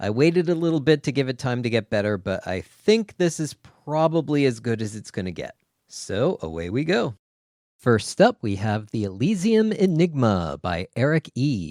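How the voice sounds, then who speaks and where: The sound is dry and close with no echo as a man speaks with very wide pitch swings. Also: medium pitch for a man, moderate pace. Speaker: podcast host discussing interactive fiction. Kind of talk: casual discussion. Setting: remote call with guest. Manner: scripted intro reading.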